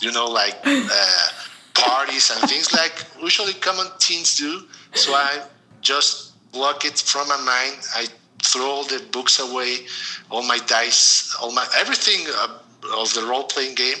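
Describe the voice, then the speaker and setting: Speaking with a Mexican accent and lively intonation, a man with a fairly high pitch is heard over noticeable background noise. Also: fairly slow pace. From Mexico City, Mexico. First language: Spanish. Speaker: storytelling podcast guest. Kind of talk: interview. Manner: halting.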